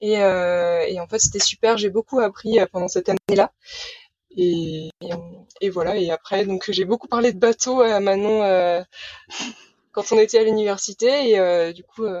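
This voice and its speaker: Here a woman with an unremarkable speaking voice talks at a fairly slow pace, medium in pitch and fairly even in intonation. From Brittany, Saint-Malo. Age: 20s. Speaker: sailor running a library sailboat project. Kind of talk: casual interview.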